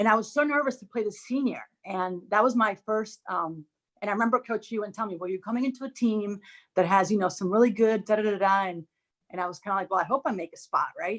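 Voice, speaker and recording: In a Spanish accent, a woman talks at a very fast pace. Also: medium pitch for a woman, ordinary pitch variation. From Dominican Republic. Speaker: former college tennis player, alum. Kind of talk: casual reminiscing on a group video chat.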